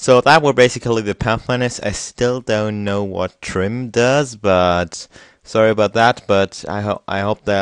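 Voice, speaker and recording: With a German accent, a man talks in a fairly low pitch against a quiet background. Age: young. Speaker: software tutorial youtuber. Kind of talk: tutorial. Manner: halting; casual.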